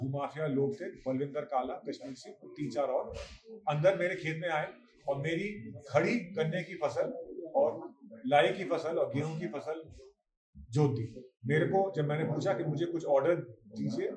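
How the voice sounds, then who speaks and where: A man's fairly high-pitched, plain, everyday voice with ordinary pitch variation. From Uttarakhand, Khatima area. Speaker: farmer. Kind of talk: news interview statement.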